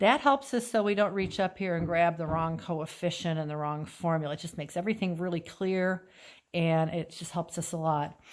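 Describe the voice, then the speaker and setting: Fairly low-pitched woman's voice at a fairly quick pace, ordinary pitch variation, very clean recording and silent background. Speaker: chemistry teacher. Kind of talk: tutorial. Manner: fast.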